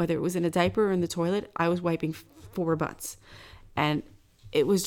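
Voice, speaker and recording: A woman's fairly low voice at a very fast pace, in a very clean recording with a silent background. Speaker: podcast co-host. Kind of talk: casual chat; sponsor read. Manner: giggly.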